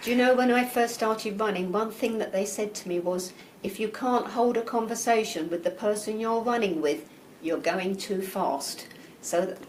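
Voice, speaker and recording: In an English accent, a woman talks at a moderate pace with fairly high pitch and ordinary pitch variation, amid noticeable background noise and audible room echo. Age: 60s. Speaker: amateur marathon runner. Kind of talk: interview.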